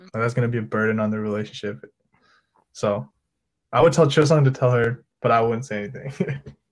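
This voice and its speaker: Delivered at a fairly quick pace in a Midwestern American accent, the speech is broken by long, frequent pauses. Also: man, medium pitch for a man, ordinary pitch variation. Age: young. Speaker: nursing student. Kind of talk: casual chat. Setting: video call.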